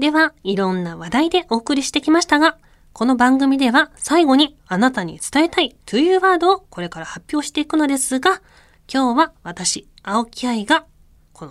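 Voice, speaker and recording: In a Kansai accent, a woman speaks at a moderate pace with very wide pitch swings on a very clean recording with a silent background. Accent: Kansai Japanese. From Japan, Kyoto. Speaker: radio host and former synchronized swimmer. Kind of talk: solo radio talk. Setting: radio studio. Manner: casual, chatty with laughter.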